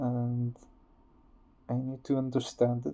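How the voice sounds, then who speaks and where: The voice has a dark, mellow tone. It carries a non-native accent. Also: man. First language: not English. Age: 30s. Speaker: vlogger. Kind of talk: personal testimony. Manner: slow; halting.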